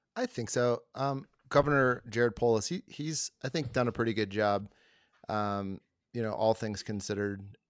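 A man with an ordinary speaking voice talks at a medium pitch and a moderate pace with ordinary pitch variation. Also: dry, close sound with no echo. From US Deep South. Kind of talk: casual chat. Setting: video call.

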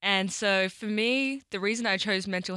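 A woman speaks at medium pitch and a moderate pace. Her tone is bright and sharp. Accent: Australian. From Australia. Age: 20s. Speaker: world record holder. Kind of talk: interview conversation.

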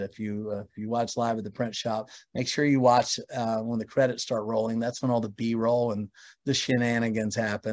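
In an ordinary speaking voice, a man at a medium pitch delivers his words at a fairly quick pace. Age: 50s. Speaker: record label founder and producer. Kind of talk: casual interview chat.

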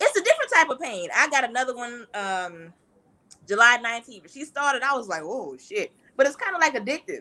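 With a raised, projected voice and big swings in loudness, a woman speaks at a fairly quick pace, her high pitch moving in very wide swings and her tone bright and sharp. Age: 40s. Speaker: returning guest. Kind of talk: casual chat.

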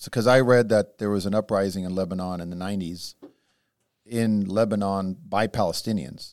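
A man with an unremarkable speaking voice, fairly low in pitch, at a moderate pace, with fairly even intonation and big swings in loudness, on a very clean recording with a silent background. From born in Israel, raised in the US from age seven. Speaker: podcast co-host. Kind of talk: casual discussion.

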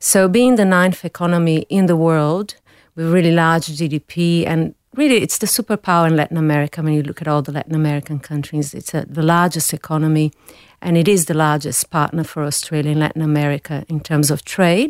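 This woman has a very deep, low voice and a Brazilian accent, speaking at a fairly quick pace with fairly even intonation. The recording is very clean with a silent background and a dry, close sound with no echo. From Brazil, São Paulo. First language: Portuguese. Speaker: food company director, business expert. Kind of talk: interview.

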